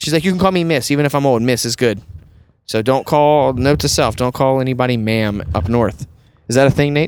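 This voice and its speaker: In an American accent, a man with an ordinary speaking voice talks at a fairly quick pace, with medium pitch and ordinary pitch variation. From US South. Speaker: podcast host, wedding photographer. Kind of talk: casual chat. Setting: in a car.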